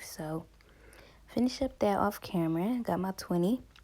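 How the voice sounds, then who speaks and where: A woman with a dark, mellow tone speaks at a fairly slow pace on a very clean recording with a silent background. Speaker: crochet content creator. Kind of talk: tutorial. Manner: casual, with many fillers.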